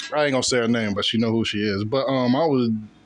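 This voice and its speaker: Speaking with an American accent, a man has a plain, everyday voice at medium pitch with ordinary pitch variation. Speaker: college student. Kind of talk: casual chat.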